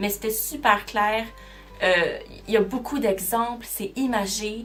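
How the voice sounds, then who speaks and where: A woman's fairly high voice with a Quebec accent, very slow pace, audible room echo and background music. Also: ordinary pitch variation. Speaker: booktuber. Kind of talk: casual vlog talk.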